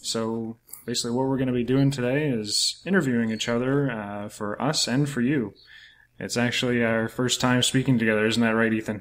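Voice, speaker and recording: A man with a Canadian accent speaks in a plain, everyday voice at medium pitch, fairly quick and with fairly even intonation, on a very clean recording with a silent background. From New Brunswick, Canada. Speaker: podcast host, author. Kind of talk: casual interview chat.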